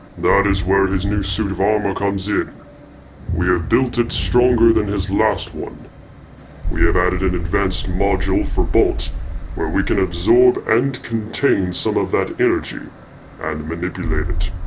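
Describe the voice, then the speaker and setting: Using a put-on character voice, a man speaks fairly low at a moderate pace with clear background noise. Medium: machinima. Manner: formal, measured.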